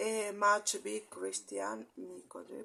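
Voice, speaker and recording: A woman speaks very slowly with a Spanish accent. Her very deep, low pitch swings very widely. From Argentina, Jujuy. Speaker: video greeting sender. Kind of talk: casual video message. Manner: halting, many hesitations.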